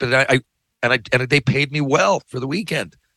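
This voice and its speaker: Speaking at a fairly quick pace, a man has a medium pitch, a bright, sharp tone and vocal fry, with a dry, close sound with no echo and a quiet background. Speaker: podcast host, former hockey player and author. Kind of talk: casual monologue. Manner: loud, yelling when passionate.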